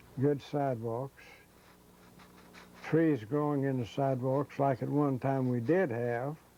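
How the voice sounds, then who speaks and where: With an Appalachian accent, a man speaks at a medium pitch and a fairly slow pace in a dark, mellow tone, keeping fairly even intonation and leaving long, frequent pauses. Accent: Southern US (Appalachian). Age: 80s+. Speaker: shoe repair shop owner. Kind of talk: interview reminiscence.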